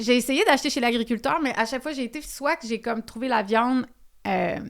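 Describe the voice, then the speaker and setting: A woman with a high voice talks at a fairly quick pace, and her pitch varies in an ordinary way. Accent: Quebec. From Quebec. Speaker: podcast host. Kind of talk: podcast interview.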